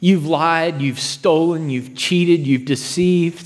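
A man in an ordinary speaking voice at a fairly slow pace. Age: 30s. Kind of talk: sermon.

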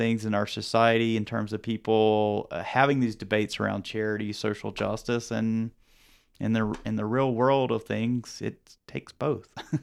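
In a very clean recording with a silent background, a man with a Southern US accent talks at a moderate pace. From rural North Carolina. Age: young. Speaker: public health professor. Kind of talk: podcast interview. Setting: studio.

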